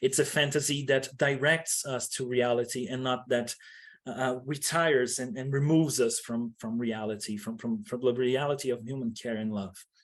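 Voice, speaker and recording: Against a quiet background, a man with a non-native accent talks with ordinary pitch variation. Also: medium pitch for a man, moderate pace. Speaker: academic researcher. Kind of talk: conference presentation. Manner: halting, many fillers and restarts.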